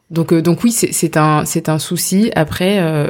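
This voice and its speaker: A woman's very deep, low voice, dark and mellow in tone, at a fairly slow pace with fairly even intonation. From France, of Indian descent. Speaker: startup co-founder. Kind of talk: interview. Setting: host's home.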